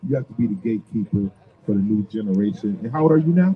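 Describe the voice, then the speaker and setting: Talking at a very fast pace with an American accent, a man sounds somewhat breathy and makes very wide pitch swings. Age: 60s. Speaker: radio host. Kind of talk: live radio talk. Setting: off-site live radio broadcast.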